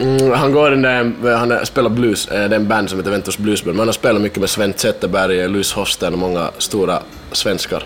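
Noticeable background noise sits under a man's fairly low voice. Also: ordinary pitch variation, moderate pace. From Finland (Kokkola area, Swedish-speaking Ostrobothnia). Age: 20s. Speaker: booking agent and event organizer. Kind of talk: casual interview. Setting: backstage at a festival.

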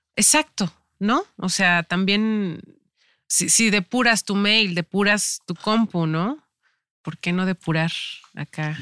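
Recorded very cleanly against a silent background, with a dry, close sound and no echo, a woman speaks at a very slow pace with long, frequent pauses, her medium-pitched voice bright and sharp in tone with ordinary pitch variation. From Mexico, Veracruz and Tampico. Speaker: actress. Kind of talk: casual interview chat. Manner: halting with many fillers.

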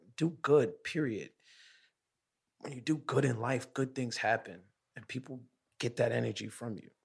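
A man speaks at a moderate pace and medium pitch, with vocal fry, ordinary pitch variation, and long, frequent pauses. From Brooklyn, New York. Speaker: podcast host, guest interviewee. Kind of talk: casual interview. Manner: animated.

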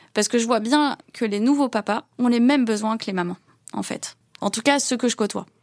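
An unremarkable speaking voice with ordinary pitch variation moves at a moderate pace, the sound dry and close with no echo on a very clean recording with a silent background. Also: woman, fairly high pitch for a woman. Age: 40s. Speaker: business executive. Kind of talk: interview.

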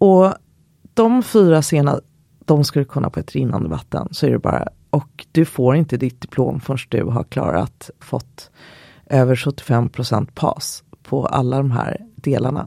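A woman with vocal fry speaks at a fairly slow pace in a very deep, low pitch. Her tone is dark and mellow, with very wide pitch swings. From Sweden, Skokloster (Uppland countryside). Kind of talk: interview.

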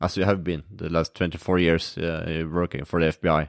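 A man with a Norwegian accent at a fairly quick pace, dry and close with no echo, on a very clean recording with a silent background. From Norway. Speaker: podcast host, mental trainer. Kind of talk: casual interview.

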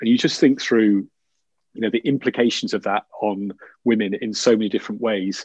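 In a Yorkshire accent, a man speaks at medium pitch and a fairly quick pace. The intonation stays fairly even, and the sound is dry and close with no echo. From Yorkshire, northern England. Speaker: business executive. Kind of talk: interview conversation. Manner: halting, many fillers.

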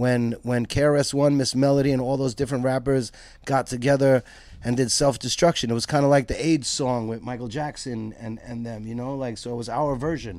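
In a very clean recording with a silent background, a man with a Brooklyn accent speaks at a medium pitch and fairly quick pace with fairly even intonation. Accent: New York (Brooklyn). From Brooklyn, New York (East Flatbush, Williamsburg). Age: 50s. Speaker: skate shop owner. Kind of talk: interview. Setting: in a shop.

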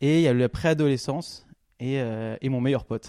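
The man's voice sits at a medium pitch with a dark, mellow tone. His pitch varies in an ordinary way. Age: 30s. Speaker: podcast guest sharing life story. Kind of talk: personal testimony interview. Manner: halting, many fillers.

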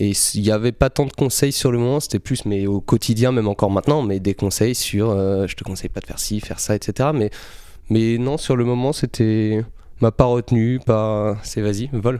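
On a very clean recording with a silent background, a man speaks at a moderate pace with medium pitch, a dark, mellow tone and fairly even intonation. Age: 20s. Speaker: photographer. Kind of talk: casual interview.

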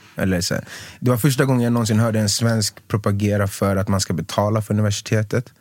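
A man's fairly low-pitched voice at a very fast pace with fairly even intonation, on a very clean recording with a silent background. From Sweden, Stockholm southern suburbs. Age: 30s. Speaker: singer, former professional basketball player. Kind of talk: casual chat.

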